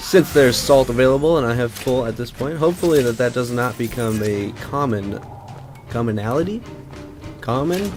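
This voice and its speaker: Over music in the background, a man with an American accent talks at a moderate pace, his medium pitch varying in an ordinary way. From Pacific Northwest, USA. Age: young. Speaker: let's play youtuber. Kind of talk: casual gameplay commentary.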